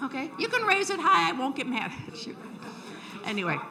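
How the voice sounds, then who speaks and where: Noticeable background noise plus audible room echo. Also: woman. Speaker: membership chair of a historical society. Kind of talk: event welcome speech. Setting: lecture hall with audience. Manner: loud; friendly and animated.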